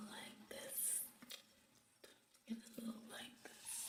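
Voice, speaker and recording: Over noticeable background noise comes a whisper at a very slow pace. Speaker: ASMR creator. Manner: whispered.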